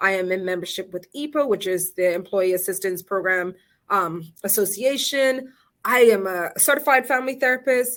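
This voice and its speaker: An unremarkable speaking voice from a woman, at a moderate pace with lively intonation. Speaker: family therapist and presenter. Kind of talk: webinar presentation. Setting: virtual session.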